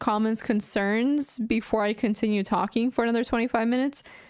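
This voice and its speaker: In a very clean recording with a silent background, a woman with a plain, everyday voice speaks at a fairly high pitch and a moderate pace, with fairly even intonation. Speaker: chess streamer. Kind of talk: casual chat.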